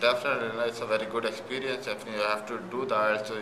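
Talking at a very fast pace, a man with a Pakistani accent and fairly low pitch is heard over noticeable background noise. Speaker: cricketer. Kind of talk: interview answer. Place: home room.

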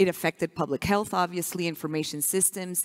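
A woman speaks fairly quickly in a plain, everyday voice, her intonation fairly even. The background is quiet. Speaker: public relations professional; conference speaker. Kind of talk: public talk. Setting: stage with audience. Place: stage.

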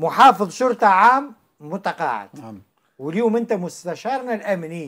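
Very slow speech from a man with very wide pitch swings, set in a quiet background. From Tunisia. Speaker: talk show host. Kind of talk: talk show discussion. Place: studio. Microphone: lapel.

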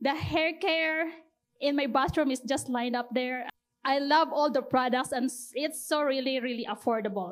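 A woman talks with a high pitch, keeping a moderate pace. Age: 40s. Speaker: product distributor. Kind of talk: testimony. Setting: stage with audience. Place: hall. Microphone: handheld.

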